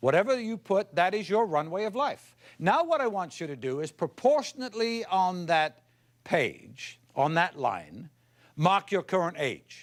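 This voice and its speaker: The recording is very clean with a silent background. A man with a high pitch speaks at a fairly slow pace, swinging very widely in pitch. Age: 60s. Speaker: motivational speaker. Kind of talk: keynote speech; humorous anecdote. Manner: animated.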